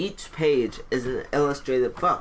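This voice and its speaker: Fairly slow speech with music in the background. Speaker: gamer streamer. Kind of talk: let's play commentary. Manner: halting when reading aloud; casual.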